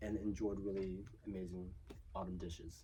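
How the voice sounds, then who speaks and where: Vocal fry runs through a man's dark, mellow voice. He keeps a moderate pace. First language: Chinese. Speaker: children's book author and illustrator. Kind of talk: interview. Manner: casual, many filler words.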